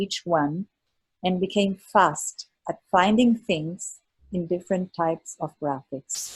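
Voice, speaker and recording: With a non-native accent, a woman speaks at a fairly slow pace in a fairly low pitch, somewhat breathy, with ordinary pitch variation. The sound is dry and close, without echo. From Germany. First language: not English. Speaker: architect, exam mentor. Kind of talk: presentation to online study group.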